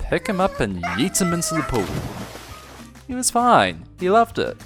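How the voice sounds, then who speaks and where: Music can be heard behind the speaker. The man's pace is moderate. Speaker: animator. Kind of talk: animated storytime narration. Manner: casual, heartfelt.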